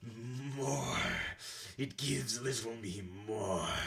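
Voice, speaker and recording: Growling and raspy, a man puts on a character voice at a medium pitch and speaks very slowly. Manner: hungry, desperate.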